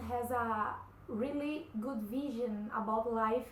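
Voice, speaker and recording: Amid noticeable background noise and audible room echo, a woman speaks at a high pitch with fairly even intonation. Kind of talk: personal testimony vlog. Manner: halting, many fillers.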